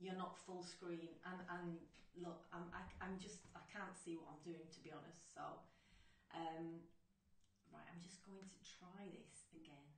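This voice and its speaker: In a room with audible echo, a woman with a fairly low voice speaks fairly slowly and flatly in a monotone, leaving long, frequent pauses. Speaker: crafting tutorial host. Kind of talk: live stream tutorial. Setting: live online broadcast. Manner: loud; halting. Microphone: sound very quiet.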